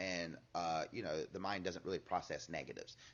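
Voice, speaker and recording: He talks at a fairly quick pace. This man's pitch is very deep and low. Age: 40s. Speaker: martial arts instructor. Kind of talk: casual interview chat. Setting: martial arts studio.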